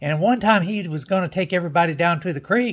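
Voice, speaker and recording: Speaking with a Southern US accent, this voice shows ordinary pitch variation. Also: man. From Tampa, Florida. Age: old. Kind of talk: joke telling, folksy storytelling to camera.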